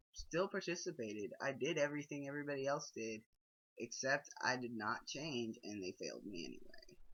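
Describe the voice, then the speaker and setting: This man speaks with a fairly high pitch. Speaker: video blogger. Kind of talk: personal vlog monologue. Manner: hesitant, many fillers.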